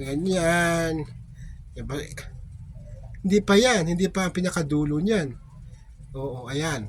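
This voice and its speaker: Speaking very slowly with long, frequent pauses, a man uses a high pitch with ordinary variation. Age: 50s. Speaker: vlogger. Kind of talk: casual vlog talk.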